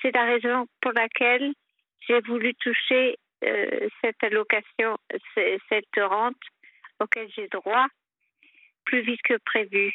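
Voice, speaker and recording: Fairly even intonation from a woman at a fairly high pitch. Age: 50s. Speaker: caller with personal problems. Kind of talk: personal testimony on a call-in show. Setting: phone call. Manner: halting.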